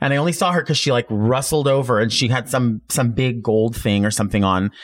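A man with an ordinary speaking voice talks at a fairly quick pace with ordinary pitch variation. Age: 40s. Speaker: drag queen and wig stylist. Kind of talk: casual interview chat.

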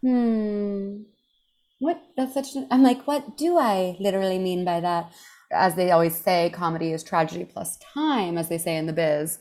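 A woman talks at a moderate pace in a medium pitch, with a dark, mellow tone. Her intonation is lively. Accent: American. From Texas, Houston. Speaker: comedian. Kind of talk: casual chat.

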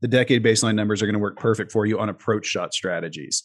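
A man is talking. His delivery comes at a very fast pace. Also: quiet background. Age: 40s. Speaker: golf strategy coach and former pro golfer. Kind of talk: podcast interview.

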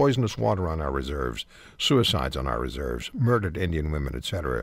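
The voice has vocal fry and very wide pitch swings. The recording is very clean, with a silent background. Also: man. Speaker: radio talk show host. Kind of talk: radio talk show interview. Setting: radio studio.

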